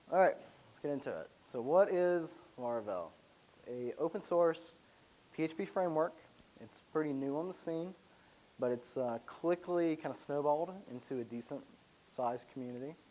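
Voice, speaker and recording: With an American accent, a man speaks at a moderate pace and a fairly high pitch, his tone dark and mellow, with ordinary pitch variation and big swings in loudness. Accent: slight Southern accent, comes out at random. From US South, Alabama. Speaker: software developer, conference speaker. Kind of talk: conference presentation. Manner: casual, filler-heavy.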